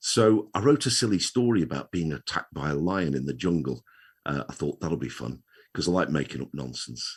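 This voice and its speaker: Over a quiet background, a man with vocal fry speaks at a fairly quick pace in a very deep, low voice with very wide pitch swings. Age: 60s. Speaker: children's author, retired wheelchair user. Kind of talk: interview.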